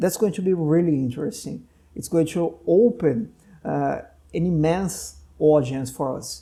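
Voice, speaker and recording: Speaking at a moderate pace, a man with a Portuguese accent has a fairly high pitch, a dark, mellow tone and ordinary pitch variation. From Brazil. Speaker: doctor and podcast host. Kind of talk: casual interview conversation.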